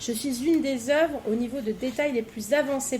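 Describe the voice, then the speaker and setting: Her voice is high for a woman. She talks at a moderate pace with ordinary pitch variation. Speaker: podcast quiz host. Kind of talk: reading quiz questions.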